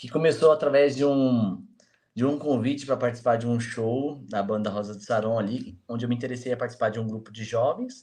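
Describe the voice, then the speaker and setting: A man speaks at a medium pitch with a dark, mellow tone and fairly even intonation. His pace is fairly quick, with big swings in loudness. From Jacareí, interior of São Paulo, Vale do Paraíba. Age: 20s. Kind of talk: casual interview chat.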